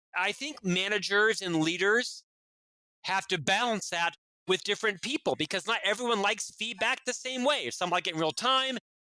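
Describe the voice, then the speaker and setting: A man's raised, projected voice, high-pitched, bright and sharp, with lively intonation, dry and close with no echo. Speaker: business executive and author. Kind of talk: interview. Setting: podcast interview. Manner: loud.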